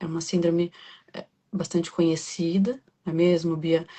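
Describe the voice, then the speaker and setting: Soft-spoken, a woman talks in a somewhat breathy way. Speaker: podcast host. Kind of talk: interview.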